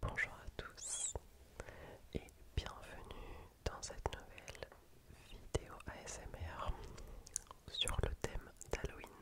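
Whispering very slowly, a woman leaves long, frequent pauses as her loudness swings widely. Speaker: ASMR creator. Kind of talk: ASMR whispered quiz. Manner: whispered. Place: home room. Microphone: studio mic.

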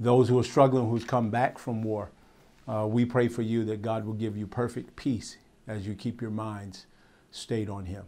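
Here a man speaks at a moderate pace. His intonation is monotone and flat. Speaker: pastor. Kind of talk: sermon. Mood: warm, earnest greeting. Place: studio. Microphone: lapel.

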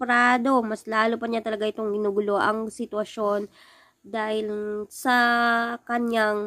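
A woman's fairly high voice at a fairly slow pace, with a dry, close sound with no echo and a very clean recording over a silent background. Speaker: YouTuber recapping TV episodes. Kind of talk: casual recap vlog. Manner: slurred speech.

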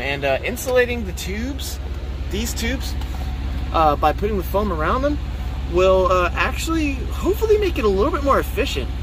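Noticeable background noise comes through in a dry sound that has no echo. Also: man. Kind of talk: tutorial. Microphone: phone near.

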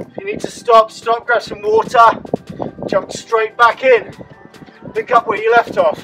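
A man's high-pitched voice, monotone and flat, at a fairly slow pace over music in the background. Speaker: fitness instructor. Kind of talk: workout instruction. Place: garden. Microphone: camera far.

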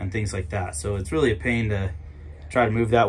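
Lively intonation at a fairly quick pace, with music in the background. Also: man. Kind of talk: casual vlog tour. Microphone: phone near.

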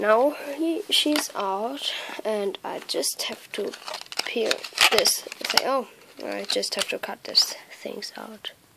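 Very slow speech over noticeable background noise. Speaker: toy unboxing vlogger. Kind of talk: unboxing tutorial. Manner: halting, many fillers.

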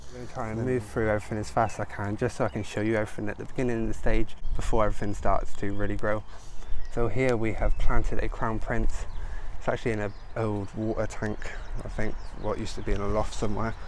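A man talks at a very fast pace over light background noise. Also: dry sound with no echo. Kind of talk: casual vlog tour commentary. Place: garden. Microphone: phone near.

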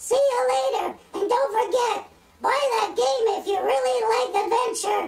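A squeaky, cartoonish character voice at an extremely high pitch swings very widely in pitch. The pace is moderate, with light background noise. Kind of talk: comedic puppet banter. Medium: puppet show. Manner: excitable, opinionated. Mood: cheerful introduction.

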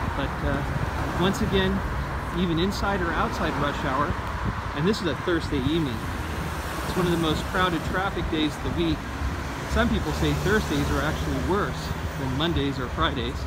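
Loud noise fills the background. The speech breaks off with long, frequent pauses. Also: moderate pace, dry sound with no echo. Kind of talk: casual vlog commentary. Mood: calm, mildly argumentative. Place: street. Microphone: phone near.

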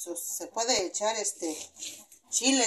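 A woman's pitch varies in an ordinary way as light background noise runs underneath. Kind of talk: cooking tutorial. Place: kitchen. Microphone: phone near.

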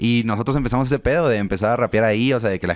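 A man with a Mexico City accent at a very fast pace, the sound dry with no echo. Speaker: freestyle rapper; interview guest. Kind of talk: interview. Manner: casual slangy. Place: studio. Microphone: studio mic.

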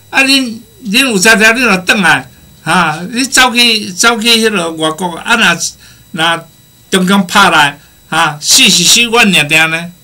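A man with a high pitch speaks in a raised, projected voice at a fairly slow pace. His tone is animated and his intonation lively. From Taiwan. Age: 60s. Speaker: guest speaker, professor abroad; guest, professor abroad. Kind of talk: casual talk show conversation, storytelling. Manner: animated, humorous, rambling. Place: studio.

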